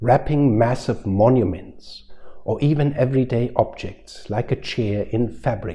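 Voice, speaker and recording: Here is an unremarkable speaking voice from a man. He goes at a fairly slow pace with ordinary pitch variation. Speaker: preacher. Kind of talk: sermon. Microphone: lapel.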